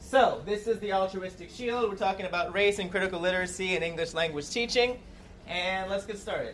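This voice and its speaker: A woman speaks at a fairly quick pace in a medium-pitched voice with fairly even intonation. Noticeable background noise runs beneath her. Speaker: English language teaching educator and podcast host. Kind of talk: conference presentation. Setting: stage with audience. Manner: loud; fast.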